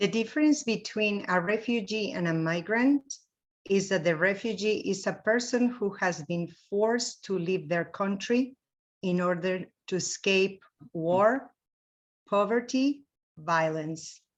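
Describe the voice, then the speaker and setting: A woman with a Spanish accent speaks at a fairly slow pace in a medium pitch, with ordinary pitch variation against a quiet background. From Mexico, Veracruz. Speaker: mission trip volunteer. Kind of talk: slide presentation.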